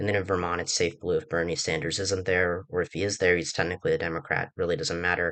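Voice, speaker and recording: A bright, sharp tone rushes by at a very fast pace with hardly any pauses. The intonation is fairly even, and the background is quiet. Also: man, very deep, low pitch for a man. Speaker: political commentator on an online channel. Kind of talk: casual solo commentary. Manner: hesitant, many fillers.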